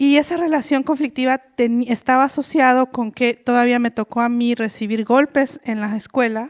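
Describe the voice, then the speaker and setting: Recorded very cleanly with a silent background and a dry, close sound with no echo, a woman with a high pitch talks at a moderate pace with hardly any pauses and fairly even intonation. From Mexico, Oaxaca Mixe region. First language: Mixe (speaking Spanish). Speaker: author and linguist, panelist. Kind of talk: panel talk. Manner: halting, many fillers.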